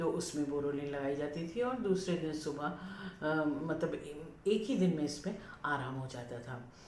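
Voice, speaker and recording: Against noticeable background noise and audible room echo, a woman speaks with lively intonation. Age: 70s. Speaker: lifestyle YouTuber. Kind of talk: casual vlog talk. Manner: hesitant, many fillers.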